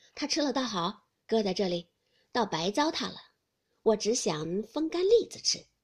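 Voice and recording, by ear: Reading aloud in a natural voice, the speaker is heard over a quiet background.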